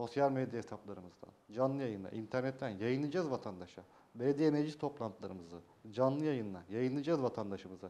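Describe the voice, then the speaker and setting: A man's dark, mellow voice with lively intonation, at a fairly quick pace. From Turkey, Yalova (Çiftlikköy); Turkey. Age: 30s. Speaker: mayoral candidate, former journalist; candidate. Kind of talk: TV interview. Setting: TV studio. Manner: hesitant, many filler sounds. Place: studio. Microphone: lapel.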